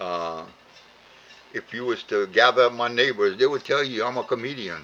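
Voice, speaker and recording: A man with a strong Cajun accent, medium pitch, ordinary pitch variation, bright, sharp tone, and moderate pace. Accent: heavy Cajun. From Louisiana (Cajun). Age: 80s+. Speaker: elderly vlogger. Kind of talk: heartfelt monologue. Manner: halting, many fillers and repeats; rambling.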